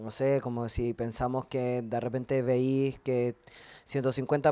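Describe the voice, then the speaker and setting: A man with a Chilean accent speaks at a medium pitch in a dark, mellow tone. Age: 20s. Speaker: writer and poet. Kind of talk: panel conversation. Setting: brewery with live audience.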